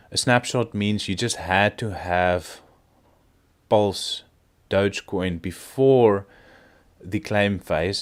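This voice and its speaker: A man with a non-native accent speaks at a very slow pace. His very deep, low pitch has ordinary pitch variation. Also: very clean recording, silent background. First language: not English. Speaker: crypto video creator. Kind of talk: casual market commentary. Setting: at home. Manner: hesitant, many fillers.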